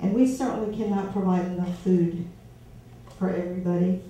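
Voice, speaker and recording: Medium-pitched woman with an American accent, fairly even intonation and a moderate pace, with audible room echo. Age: 60s. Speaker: voter at a candidate forum. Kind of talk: public question at a town meeting. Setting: community meet and greet with audience.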